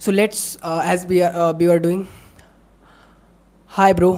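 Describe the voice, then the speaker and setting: Here a woman talks in a fairly low pitch. Her tone is dark and mellow. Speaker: content creator. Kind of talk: live stream. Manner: fast; halting.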